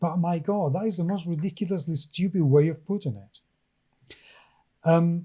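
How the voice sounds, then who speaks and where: A man with a high pitch and a dark, mellow tone talks at a moderate pace, using ordinary pitch variation, big swings in loudness, and long, frequent pauses. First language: not English. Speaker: podcast co-host. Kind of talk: casual chat.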